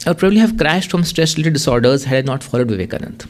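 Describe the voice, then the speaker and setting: A man talks as noticeable background noise carries on around him. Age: 50s. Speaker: journalist and author. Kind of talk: lecture with reading aloud from own book. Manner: fast.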